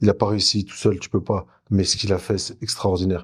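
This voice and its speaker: A man's fairly low, monotone voice with flat intonation, at a very fast pace, on a very clean recording with a silent background. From France, Jura. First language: Turkish (speaking French). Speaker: former footballer. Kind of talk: interview.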